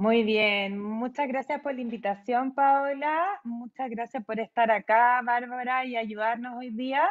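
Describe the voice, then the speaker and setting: A woman speaks at a very slow pace with hardly any pauses. Her high pitch shows ordinary variation. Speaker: psychologist and recruitment specialist. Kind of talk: webinar talk.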